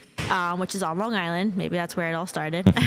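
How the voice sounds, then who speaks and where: Very fast delivery in a monotone, flat intonation. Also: woman. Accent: New York. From Brooklyn, New York. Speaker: construction products sales rep. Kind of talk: casual interview.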